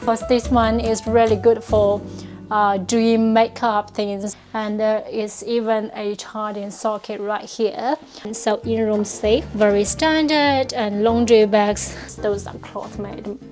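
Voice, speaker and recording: Faint music plays behind a woman with a non-native accent. She speaks very slowly at a fairly high pitch with fairly even intonation. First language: not English. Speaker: hotel review blogger; travel vlogger. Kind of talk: casual hotel review talk to camera; casual room tour narration. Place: home room. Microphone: lapel.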